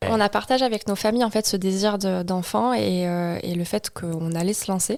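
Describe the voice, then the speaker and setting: Moving at a moderate pace with fairly even intonation, a plain, everyday voice comes through a very clean recording with a silent background. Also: woman, medium pitch for a woman. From Marseille, southern France. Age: 20s. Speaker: psychomotor therapist, new mother. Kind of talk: podcast interview.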